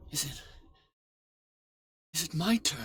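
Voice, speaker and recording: This is a put-on character voice, raspy in texture. The pitch sits in the middle range. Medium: video game.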